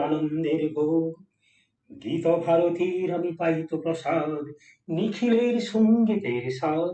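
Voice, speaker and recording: A man's voice, fairly high in pitch. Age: 70s. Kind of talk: poetry reading.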